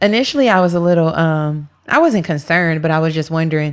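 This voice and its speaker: On a very clean recording with a silent background, a woman talks at a fairly quick pace. Her pitch is fairly low, with ordinary variation. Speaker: podcast co-host. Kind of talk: casual chat.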